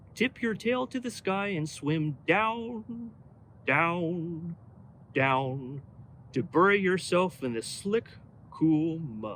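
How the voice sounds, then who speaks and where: Someone puts on a character voice at a middle pitch, speaking at a very slow pace. Background noise is clearly audible. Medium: read story.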